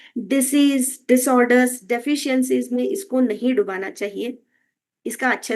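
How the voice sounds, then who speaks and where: A woman's high voice with ordinary pitch movement over a quiet background. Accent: Kannada. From Karnataka, India. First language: Kannada (speaking Hindi). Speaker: health and wellness educator. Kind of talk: educational talk. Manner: Hindi-English code-switching with frequent fillers.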